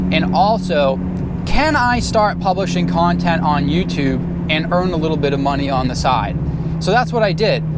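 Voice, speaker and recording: A man's moderately paced speech amid noticeable background noise and audible room echo. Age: 30s. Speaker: YouTuber and internet entrepreneur. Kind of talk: casual vlog monologue. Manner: casual with fillers.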